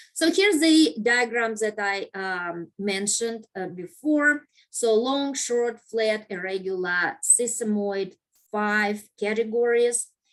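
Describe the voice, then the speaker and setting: Here a woman talks at a very slow pace. Her pitch is fairly high, with ordinary variation. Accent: non-native. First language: not English. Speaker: anatomy instructor. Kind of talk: lecture. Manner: halting, many fillers.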